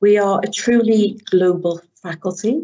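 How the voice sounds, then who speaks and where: Her medium-pitched voice carries an English accent, from a woman. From England. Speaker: university lecturer. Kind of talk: webinar presentation. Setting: online webinar.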